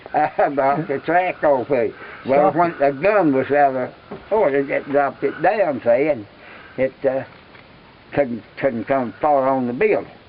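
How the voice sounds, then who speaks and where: There is noticeable background noise as a man with an American accent speaks at a fairly slow pace. His voice is fairly high, with ordinary pitch variation. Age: 80s+. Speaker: war veteran. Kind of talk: interview answer.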